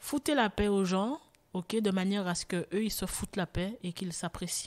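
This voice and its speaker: Recorded very cleanly against a silent background, with a dry, close sound and no echo, a woman talks at a fairly slow pace with ordinary pitch variation. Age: 40s. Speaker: testimony guest, former choreographer. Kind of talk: testimony.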